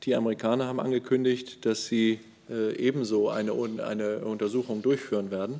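A fairly quick male voice with a dark, mellow tone and fairly even intonation. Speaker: government spokesperson. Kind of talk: press conference answer. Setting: press conference room. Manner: halting. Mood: guarded, formal, measured. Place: hall.

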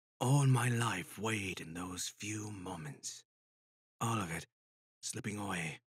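A man uses a put-on character voice, raspy and fairly low in pitch, with ordinary pitch variation. He speaks at a fairly slow pace, and the sound is dry and close with no echo. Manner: calm, cold, mocking.

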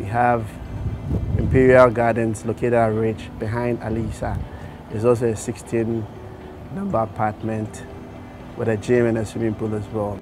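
A man speaks at a moderate pace in a monotone, flat voice, with long, frequent pauses. Background noise is noticeable. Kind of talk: interview answer. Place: street.

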